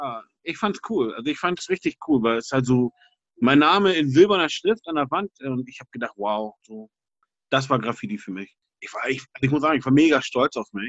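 At a moderate pace, a man with a fairly high pitch speaks with big swings in loudness. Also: lively intonation. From Hamburg, Germany (St. Pauli). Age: 40s. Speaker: graffiti artist. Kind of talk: interview. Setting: video call. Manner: casual, hesitant with fillers.

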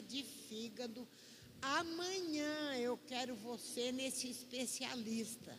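A high-pitched woman's voice with noticeable background noise and audible room echo. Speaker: church member. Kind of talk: testimony. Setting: church.

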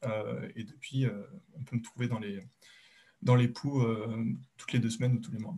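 A man with a medium pitch and a dark, mellow tone sounds somewhat breathy, speaking at a moderate pace with ordinary pitch variation. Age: 20s. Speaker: software engineer. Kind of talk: casual interview. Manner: halting, many fillers and repetitions.

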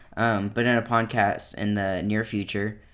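A normal speaking voice from a man, fairly slow in pace with fairly even intonation. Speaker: podcast co-host.

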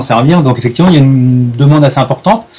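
A man talks with fairly even intonation. Noticeable background noise runs behind him. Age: 40s. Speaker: wildlife photographer. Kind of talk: interview. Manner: hesitant, many fillers.

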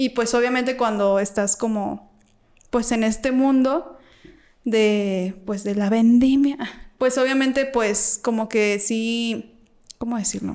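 A woman talks at a very slow pace with fairly even intonation and a fairly high pitch. The recording is very clean with a silent background. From Mexico, Guanajuato (Salamanca). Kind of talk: casual chat.

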